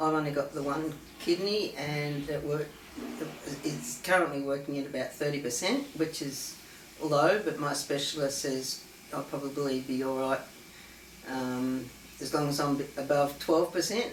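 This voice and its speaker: With an Australian accent and a very deep, low pitch, a woman speaks at a moderate pace with fairly even intonation and long, frequent pauses, amid audible room echo and noticeable background noise. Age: 60s. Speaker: patient sharing personal story. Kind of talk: testimony. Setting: conference, filmed. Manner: halting, many fillers.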